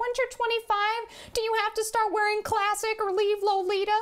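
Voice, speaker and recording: This put-on character voice is squeaky, with an extremely high pitch. It holds a monotone, flat intonation at a moderate pace. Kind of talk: casual vlog chat. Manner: silly put-on voice. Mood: light, amused.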